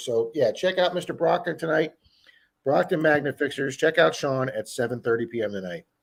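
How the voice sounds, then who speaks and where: A raspy, put-on character voice delivers lines at a fairly quick pace. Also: man, fairly high pitch for a man. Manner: game show host style, upbeat promotional.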